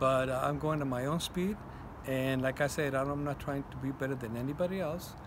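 A man speaks at a medium pitch over noticeable background noise. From Mexico. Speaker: leather and metal artist; interviewee. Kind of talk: interview. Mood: warm, reflective. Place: street. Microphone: phone near.

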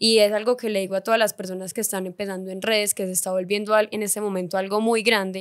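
A woman rushes along at a very fast pace with hardly any pauses and monotone, flat intonation. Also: quiet background. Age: 20s. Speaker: influencer and content creator; influencer, content creator. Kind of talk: casual interview chat. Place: studio. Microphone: studio mic.

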